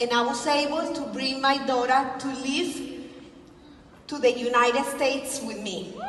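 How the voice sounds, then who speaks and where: A woman with a Colombian accent speaks in a high voice with fairly even intonation. Noticeable background noise and audible room echo fill the recording. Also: fairly slow pace. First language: Spanish. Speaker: direct sales presenter. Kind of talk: convention speech. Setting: stage with audience.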